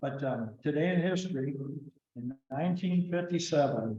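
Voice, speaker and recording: A somewhat breathy male voice, fairly slow, with ordinary pitch variation. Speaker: club president leading meeting. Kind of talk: meeting announcements. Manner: halting with many fillers.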